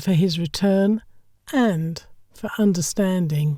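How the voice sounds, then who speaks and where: With a British accent and lively intonation, a woman speaks at a very slow pace and a medium pitch in a dark, mellow tone, on a very clean recording with a silent background. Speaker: voiceover artist and narrator. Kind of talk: audiobook short story narration.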